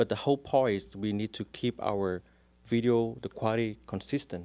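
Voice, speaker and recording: A man speaks with a strong Vietnamese accent. The sound is dry and close with no echo, on a very clean recording with a silent background. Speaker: real estate agent. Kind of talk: casual interview chat.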